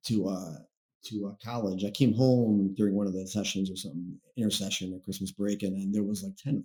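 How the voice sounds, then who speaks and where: Speaking fairly quickly with a Chicago-area accent, a man with a fairly low pitch and a dark, mellow tone keeps his intonation fairly even while his loudness swings widely. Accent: Chicago-area American English. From Chicago area, Illinois (Blue Island). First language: Spanish. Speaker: branch manager. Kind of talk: casual chat. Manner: halting.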